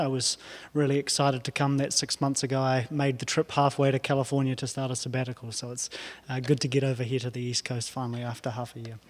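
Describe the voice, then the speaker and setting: At a very fast pace and medium pitch, a man talks in a monotone, flat intonation, in a very clean recording with a silent background. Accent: New Zealand. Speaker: professor. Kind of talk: lecture.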